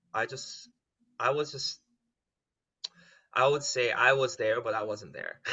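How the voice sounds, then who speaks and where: A man speaks with a Korean accent. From South Korea. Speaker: musical theater performer. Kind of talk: casual chat. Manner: halting.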